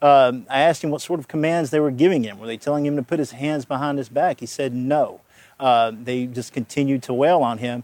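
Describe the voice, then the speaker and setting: A man's normal speaking voice, fairly high in pitch and fairly quick, with fairly even intonation on a very clean recording against a silent background. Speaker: defense attorney. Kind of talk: TV news interview.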